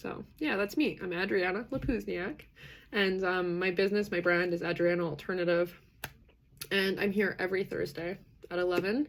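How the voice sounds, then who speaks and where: With a Canadian accent, a woman talks in an animated tone at a fairly quick pace, her medium pitch showing ordinary variation. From western Canada, British Columbia. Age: 30s. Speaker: livestream host on neurodiversity. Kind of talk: live stream community chat. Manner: many fillers, animated.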